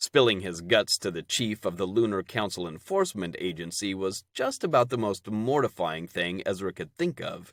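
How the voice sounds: Natural reading voice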